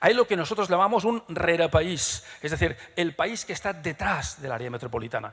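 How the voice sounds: A man speaks at a fairly quick pace with a fairly high pitch and lively intonation. His tone is fairly bright, with a slightly husky edge.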